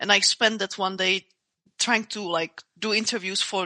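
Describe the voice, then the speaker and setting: In a non-native accent, a woman speaks at a fairly slow pace and medium pitch with a bright, sharp tone and monotone, flat intonation, the sound dry and close with no echo against a quiet background. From Czech Republic. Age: 30s. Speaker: martial artist and MMA fighter. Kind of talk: interview conversation. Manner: halting, many repeated words and fillers.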